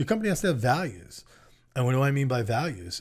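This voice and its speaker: A man speaks in a somewhat breathy voice with ordinary pitch variation. The recording is very clean with a silent background. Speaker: small business consultant. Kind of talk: casual chat. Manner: fast.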